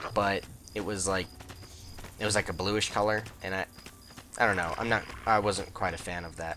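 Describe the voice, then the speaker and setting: Noticeable background noise sits behind a man speaking at a fairly quick pace and a fairly low pitch. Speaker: gaming YouTuber. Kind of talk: let's play commentary. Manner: casual, rambling with many fillers.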